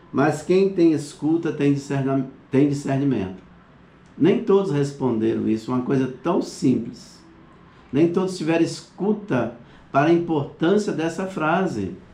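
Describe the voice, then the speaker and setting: There is audible room echo around a man's dark, mellow tone. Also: fairly high pitch for a man, lively intonation, fairly slow pace. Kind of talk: online class lecture. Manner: halting.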